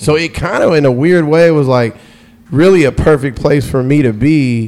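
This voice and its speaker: Speaking at a moderate pace with an American accent, a man uses a normal speaking voice at a medium pitch with ordinary pitch variation. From US South, Atlanta. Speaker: radio DJ. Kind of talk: casual chat.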